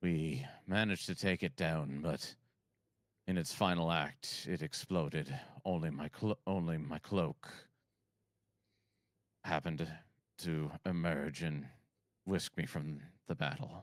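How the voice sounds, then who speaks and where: Using a put-on character voice, a man speaks with a very deep, low pitch. His pace is fairly slow, broken by long, frequent pauses. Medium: actual play. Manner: scrappy.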